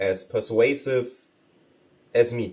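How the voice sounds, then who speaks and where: A non-native accent marks this voice. It belongs to a man. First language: not English. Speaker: vlogger. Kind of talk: casual vlog. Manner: energetic, casual.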